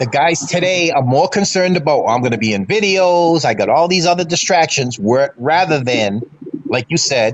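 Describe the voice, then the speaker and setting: Over noticeable background noise, a man talks at a moderate pace and fairly high pitch, with lively intonation and very even loudness. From Massachusetts. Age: 60s. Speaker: fan panelist. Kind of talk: casual sports talk. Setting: live stream.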